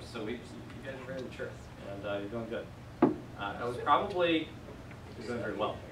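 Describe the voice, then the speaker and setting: A man with a medium-pitched voice speaks at a fairly quick clip with lively intonation, long and frequent pauses, audible room echo and noticeable background noise. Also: big swings in loudness. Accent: American. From West Virginia. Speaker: Greek class teacher. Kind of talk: classroom teaching. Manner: casual, conversational.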